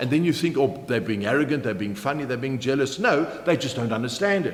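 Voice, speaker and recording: The speaker is a man with a South African accent. His intonation is lively. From Germany. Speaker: motivational keynote speaker. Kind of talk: business training talk to camera.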